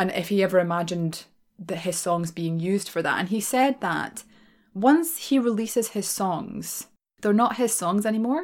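With a Glaswegian accent, a woman speaks at a moderate pace and medium pitch with ordinary pitch variation on a very clean recording with a silent background. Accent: Glaswegian Scottish. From Scotland, Glasgow. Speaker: podcast host and storyteller. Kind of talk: casual Q&A monologue. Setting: small room at home, some echo. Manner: quiet, soft-spoken; frequent laughter.

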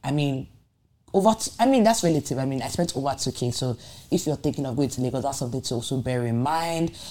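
A woman with a very deep, low pitch and a dark, mellow tone speaks at a very fast pace with lively intonation. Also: very clean recording, silent background. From Nigeria. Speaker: podcast host. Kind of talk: solo podcast monologue. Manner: animated.

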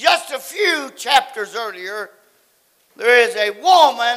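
A man uses a raised, projected voice at an extremely high pitch. He speaks at a very slow pace. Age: 70s. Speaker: pastor. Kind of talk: sermon. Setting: church. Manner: animated.

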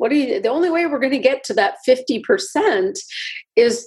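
Her pitch high for a woman, she speaks with very wide pitch swings. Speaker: cardiologist. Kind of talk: interview conversation. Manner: soft-spoken.

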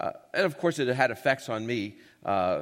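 A man's medium-pitched voice with vocal fry, very wide pitch swings and a moderate pace. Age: old. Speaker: radio Bible teacher and speaker. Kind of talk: lecture.

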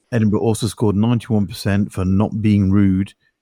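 The recording is very clean, with a silent background. A man with a dark, mellow, fairly low voice speaks fairly quickly in a flat monotone. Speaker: property investment expert. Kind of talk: casual chat.

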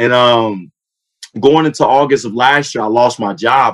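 A man at a medium pitch, his pitch varying in an ordinary way, talks with an American accent. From Fort Wayne, Indiana (South Side). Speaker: former football player and sports trainer. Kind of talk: casual interview. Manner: animated.

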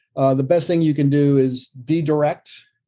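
At a fairly quick pace, a man with a dark, mellow tone speaks in a fairly high pitch with fairly even intonation. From Vermont. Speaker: company CEO and Marine Corps veteran. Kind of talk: interview.

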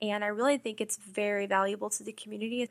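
An American-accented woman at a fairly high pitch, bright and sharp in tone, flat and monotone in intonation, fairly quick in pace, in a dry, close sound with no echo. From Texas, Houston. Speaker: newspaper managing editor. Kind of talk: interview.

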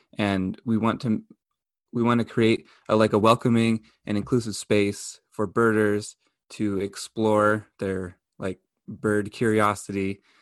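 A speaker with an American accent talks in a flat, monotone way. The background is quiet. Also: man, fairly low pitch for a man, fairly slow pace. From Montana. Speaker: birder. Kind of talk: casual group chat. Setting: video call.

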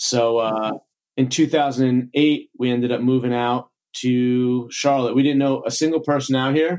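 In an American accent, a man speaks at a fairly slow pace with very even loudness. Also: medium pitch for a man, fairly even intonation. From New York, Long Island. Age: 40s. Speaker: chiropractor and gym business mentor. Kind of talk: casual interview.

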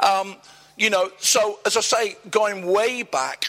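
A man speaks with fairly even intonation. There is noticeable background noise. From Nottingham, England. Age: 60s. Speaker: church leader. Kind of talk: interview before a live church audience. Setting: church event with audience.

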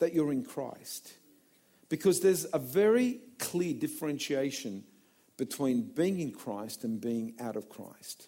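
Speaking at a fairly slow pace with long, frequent pauses, a man with an Australian accent uses a high pitch, very wide pitch swings and a dark, mellow tone. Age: 50s. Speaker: pastor. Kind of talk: sermon. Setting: church. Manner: animated.

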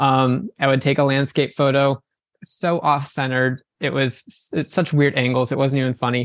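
Recorded with a dry, close sound with no echo and a quiet background, a man speaks at a moderate pace in an ordinary speaking voice, his pitch fairly high and his intonation fairly even. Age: 20s. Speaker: wedding photographer. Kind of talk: casual interview.

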